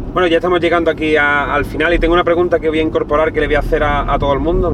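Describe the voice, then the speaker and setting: A man with a high pitch at a very fast pace, with noticeable background noise. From southern Spain, Cádiz. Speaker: youtuber interviewer, freestyle rap background. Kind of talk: casual interview.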